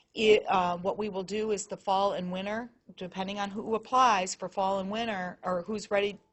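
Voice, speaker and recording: A woman's medium-pitched voice stays monotone and flat. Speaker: nursing professor and program director. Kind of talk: information session Q&A. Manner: fast.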